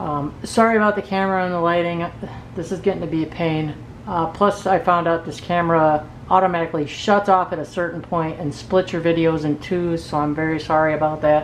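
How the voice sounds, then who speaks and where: A woman's fairly low-pitched voice, fairly quick and fairly even in intonation, over noticeable background noise. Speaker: product reviewer. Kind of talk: product review tutorial. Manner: casual, hesitant with fillers.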